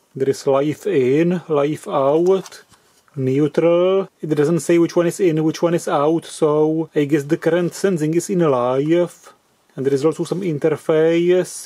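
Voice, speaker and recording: Delivery is on the slow side, with intonation that stays mostly flat. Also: man, very even loudness. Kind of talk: tutorial. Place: workshop. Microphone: camera far.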